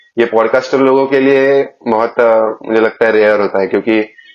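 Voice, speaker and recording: A man with a Marathi accent and fairly even intonation. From Maharashtra, India. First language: Marathi (speaking Hindi). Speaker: podcast host. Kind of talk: casual interview chat.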